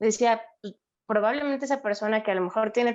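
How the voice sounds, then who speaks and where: A woman with an ordinary speaking voice, fairly high in pitch, fairly quick, with fairly even intonation. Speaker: psychologist. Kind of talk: interview.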